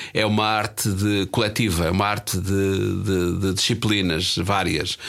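With an unremarkable speaking voice, a man talks at a moderate pace, fairly low in pitch, with fairly even intonation and very even loudness. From northern Portugal, Espinho. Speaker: film journalist. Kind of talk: casual chat.

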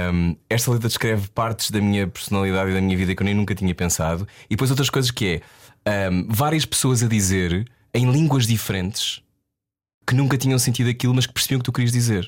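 Speaking at a very fast pace, a man keeps a very even loudness, with a fairly low pitch and ordinary pitch variation. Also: very clean recording, silent background. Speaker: radio host. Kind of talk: interview.

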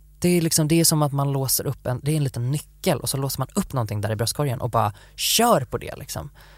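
With hardly any pauses, the words come out very fast. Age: 20s. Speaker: podcast co-host. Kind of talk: casual chat.

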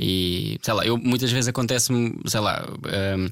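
This man speaks with fairly even intonation. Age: 20s. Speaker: guitarist and producer. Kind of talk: casual chat.

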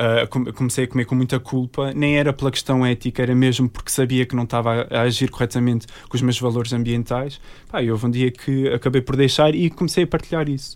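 This is an ordinary speaking voice, with fairly even intonation and a fairly quick pace. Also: man, medium pitch for a man. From Azores, Portugal (Terceira and São Miguel). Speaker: environmental engineer and social media creator. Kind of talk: interview.

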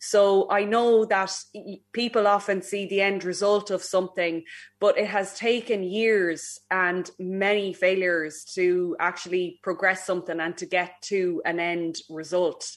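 A woman speaks with an Irish accent at a medium pitch, her intonation fairly even and her pace fairly slow. The recording is very clean, with a silent background. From Ireland. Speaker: aeronautical engineer and astronaut candidate. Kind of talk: interview. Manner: hesitant, many fillers.

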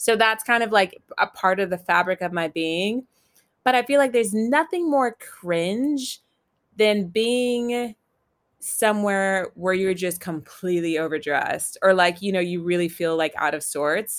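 Recorded very cleanly against a silent background, a woman talks fairly slowly in an ordinary speaking voice. Her pitch is medium and her intonation lively. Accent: American. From US South, Virginia. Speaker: fashion editor and author. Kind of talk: casual interview chat.

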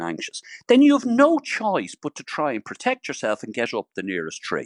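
Here a man talks at a fairly quick pace in an Irish accent. The sound is dry and close with no echo, over a quiet background. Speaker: psychotherapist. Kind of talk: radio interview.

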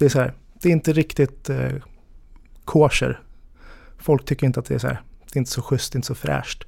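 At a fairly quick pace, a man speaks with a fairly high pitch and vocal fry. His intonation is fairly even, with long, frequent pauses. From Sweden, Järna (Stockholm region). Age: 30s. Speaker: single on a dating podcast, assistant unit manager. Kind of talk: casual interview.

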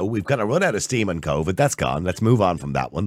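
A man with an Irish accent talks at a fairly quick pace, with very wide pitch swings and vocal fry. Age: 50s. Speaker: podcast host. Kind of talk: interview.

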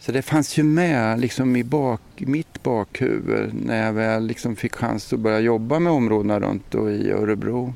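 A man with a normal speaking voice talks at a moderate pace and medium pitch, with ordinary pitch variation and very even loudness. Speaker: retired municipal ecologist. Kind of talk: outdoor interview. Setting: outdoors.

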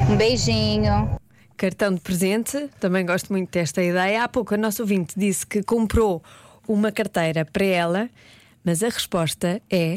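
This is a plain, everyday voice at a moderate pace with ordinary pitch variation. The loudness stays very even, and the sound is dry and close with no echo. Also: woman, medium pitch for a woman. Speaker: radio host. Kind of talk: radio call-in segment.

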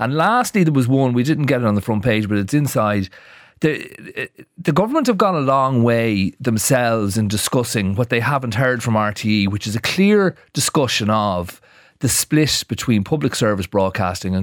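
With an Irish accent, a man speaks at a medium pitch with lively intonation and very even loudness. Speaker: newspaper editor. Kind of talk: panel discussion. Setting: studio.

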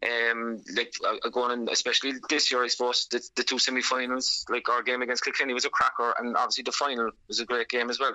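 A man with a Cork accent talks at a very fast pace. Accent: Cork Irish. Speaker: camogie team manager. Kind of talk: radio interview.

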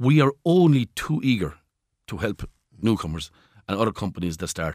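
On a very clean recording with a silent background, a man speaks with an Irish accent. His pitch swings very widely. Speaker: company chief executive. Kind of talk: interview. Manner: repeats words, stammering starts.

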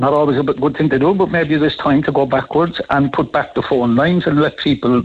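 A man with an Irish accent talks at a fairly quick pace, his fairly high voice moving with ordinary pitch variation. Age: 70s. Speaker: radio caller. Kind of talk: radio phone-in.

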